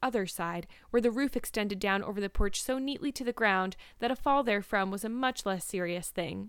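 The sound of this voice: The voice heard here is an unforced reading voice.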